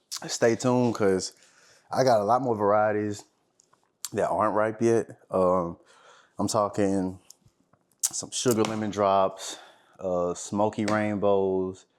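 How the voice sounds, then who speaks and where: Speaking very slowly with long, frequent pauses, a man uses a fairly low pitch and fairly even intonation. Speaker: home gardener reviewing hot peppers. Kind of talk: casual vlog taste test. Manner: casual, with pauses and mm sounds.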